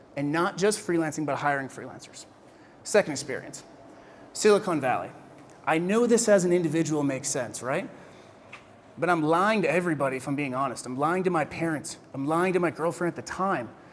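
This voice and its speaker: A man with an American accent talks at a fairly quick pace in a fairly high pitch, with ordinary pitch variation and audible room echo. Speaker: keynote speaker on freelancing. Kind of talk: keynote speech. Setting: stage with audience. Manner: animated, conversational.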